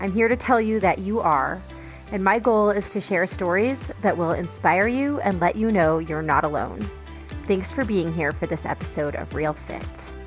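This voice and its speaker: Music can be heard behind the voice. The woman's pace is moderate. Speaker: podcast host. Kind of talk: podcast intro.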